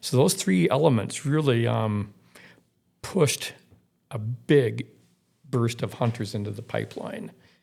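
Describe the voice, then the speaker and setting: With an American accent, a man of medium pitch talks at a fairly slow pace in a somewhat breathy voice, leaving long, frequent pauses. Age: 60s. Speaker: outdoor writer. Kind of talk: podcast interview. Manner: halting, repeats words.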